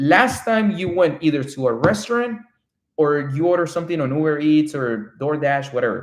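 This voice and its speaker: An animated man with a Spanish accent, fairly high in pitch, his intonation lively. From Colombia. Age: 30s. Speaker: real estate developer. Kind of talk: live stream chat. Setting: live stream from home.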